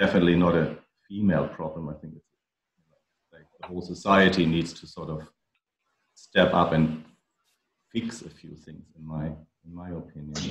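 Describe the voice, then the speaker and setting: A man with a very deep, low voice speaks in an American accent at a moderate pace, with fairly even intonation. His loudness swings widely, and he leaves long, frequent pauses. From outside the US (Europe or Australia). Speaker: member of men's gender equality network. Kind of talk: online group discussion.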